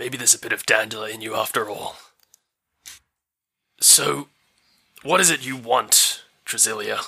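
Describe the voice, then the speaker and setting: A man puts on a raspy character voice at medium pitch. He moves at a moderate pace with long, frequent pauses. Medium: actual play. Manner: menacing, persuasive.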